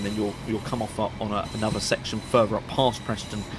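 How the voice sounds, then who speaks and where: A man's medium-pitched voice over background music. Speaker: train sim gaming YouTuber. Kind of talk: gameplay commentary. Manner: upbeat; hesitant, many fillers.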